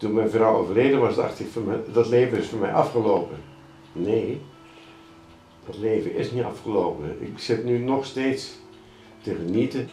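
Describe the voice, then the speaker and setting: A man talks at a moderate pace with ordinary pitch variation and long, frequent pauses. The room echo is audible, and there is light background noise. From Netherlands. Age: 80s+. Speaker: documentary subject. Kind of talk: documentary interview answer. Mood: cheerful, reflective. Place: open country.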